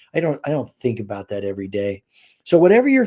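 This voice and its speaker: In a quiet background, a man with an American accent speaks at a fairly high pitch in a dark, mellow tone. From Southern California. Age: 60s. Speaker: author and speaker. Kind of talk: casual interview chat.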